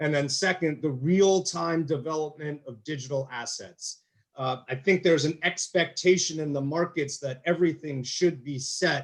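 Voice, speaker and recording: This man's voice is somewhat breathy and fairly high in pitch, with ordinary pitch variation. He keeps a moderate pace with hardly any pauses. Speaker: panel moderator. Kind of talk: panel discussion.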